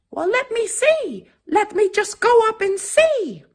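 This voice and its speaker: A squeaky, put-on character voice at an extremely high pitch speaks at a fairly slow pace. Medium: read story.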